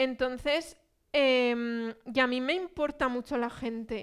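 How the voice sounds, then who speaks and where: High-pitched female speech against a quiet background. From Spain, Zaragoza; Spain. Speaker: speaker. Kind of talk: public talk. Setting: cultural centre with audience. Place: hall. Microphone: headset.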